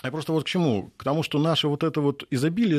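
A man with a fairly high voice, talking very fast against a quiet background. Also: dry, close sound with no echo. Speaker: university lecturer, economist. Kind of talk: radio interview. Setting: studio.

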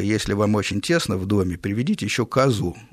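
At a moderate pace, a man delivers his words with lively intonation. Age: 50s. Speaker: radio host. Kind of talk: call-in radio show. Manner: articulate, literary Russian.

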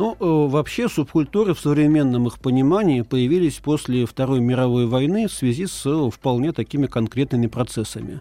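This man talks at a moderate pace in a medium pitch, his tone dark and mellow, his intonation lively and his loudness very even. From Moscow region, Russia (Lyubertsy). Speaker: ethnologist, subculture researcher. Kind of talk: interview, expert explanation. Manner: hesitant, frequent filler sounds.

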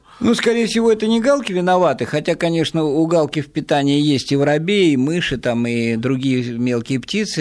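A man's ordinary speaking voice, fairly high in pitch, with lively intonation and a fairly quick pace. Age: 60s. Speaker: ornithologist running wildlife rescue. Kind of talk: radio interview.

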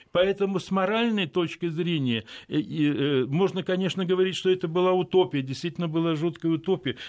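A man with a high voice talks at a fairly quick pace, his pitch varying in an ordinary way. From Odessa, Ukraine. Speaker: philosopher and political scientist. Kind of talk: radio interview. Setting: radio studio.

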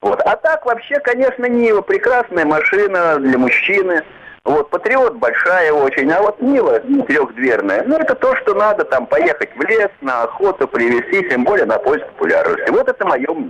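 A man at a moderate pace, his loudness very even, with noticeable noise in the background. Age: old. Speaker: caller, former tank soldier. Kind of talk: phone-in comment. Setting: phone call.

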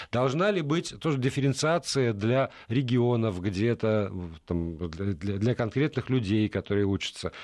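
A man uses an ordinary speaking voice at a medium pitch and a fairly slow pace. His intonation is lively, his loudness very even, and the background quiet. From Middle Urals, Russia. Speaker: radio host. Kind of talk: radio talk show. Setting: radio studio.

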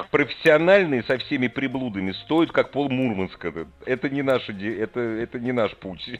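At a moderate pace, a man speaks in a normal speaking voice, medium in pitch, his intonation lively. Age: 50s. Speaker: radio host. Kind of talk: call-in radio chat.

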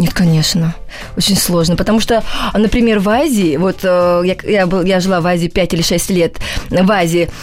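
A woman speaks at a moderate pace with a medium pitch, fairly even intonation and very even loudness. Music plays in the background. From Russia, Volgodonsk. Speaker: choreographer and dance show judge. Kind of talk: radio interview. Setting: radio studio. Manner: halting.

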